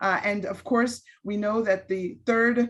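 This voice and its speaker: A somewhat breathy woman with an American accent and fairly even intonation. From Los Angeles, US West Coast. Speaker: public health director and physician. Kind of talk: public talk, interview.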